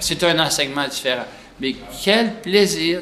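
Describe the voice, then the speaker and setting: A man with a Quebec accent, ordinary pitch variation, and audible room echo. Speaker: pediatric nephrologist. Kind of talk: interview. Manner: soft-spoken.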